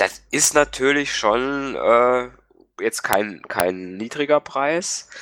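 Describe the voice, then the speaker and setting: A man speaks at a very slow pace and a medium pitch. His tone is bright and sharp, with lively intonation. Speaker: tech podcast co-host. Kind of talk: casual chat.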